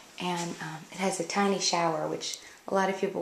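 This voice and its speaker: A woman speaks quietly, with audible room echo and noticeable background noise. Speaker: home decor blogger. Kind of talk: house tour narration. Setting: indoors at home.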